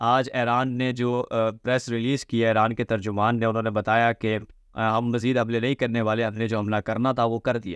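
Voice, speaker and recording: A man at a fairly slow pace, monotone and flat, against a quiet background. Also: dry sound with no echo. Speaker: news commentator. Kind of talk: commentary. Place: home room.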